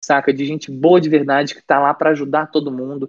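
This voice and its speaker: Speaking at a fairly quick pace, a man uses an ordinary speaking voice that is fairly high in pitch. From Brasília, Brazil. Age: 20s. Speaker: band vocalist and songwriter. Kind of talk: casual interview chat.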